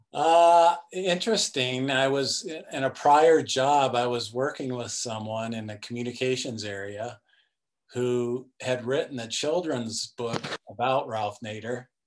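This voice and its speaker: At a fairly slow pace, a man with a General American accent uses a normal speaking voice at a medium pitch, with ordinary pitch variation. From US West, Denver, Colorado. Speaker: sports policy director and author. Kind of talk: casual interview.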